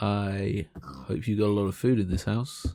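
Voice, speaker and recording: On a very clean recording with a silent background, a man talks at a fairly low pitch with an English accent. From England. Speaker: gaming youtuber. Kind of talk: gameplay commentary. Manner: casual, chatty.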